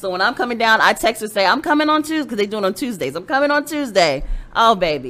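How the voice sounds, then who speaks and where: The speech races at a very fast pace with vocal fry and very wide pitch swings. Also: woman, fairly high pitch for a woman. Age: 40s. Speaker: comedian. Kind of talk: casual chat.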